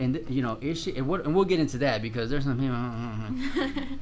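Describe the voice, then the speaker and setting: Over noticeable background noise and audible room echo, a man with a fairly high pitch talks at a fairly quick pace in an animated tone with very wide pitch swings. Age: 30s. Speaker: podcast host. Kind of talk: casual interview chat.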